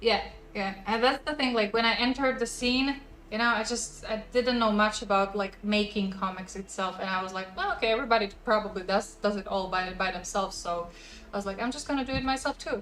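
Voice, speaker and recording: Speaking fairly quickly with a non-native accent, a woman with a fairly high voice uses ordinary pitch variation against noticeable background noise. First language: not English. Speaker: comic book creator. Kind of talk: casual interview chat.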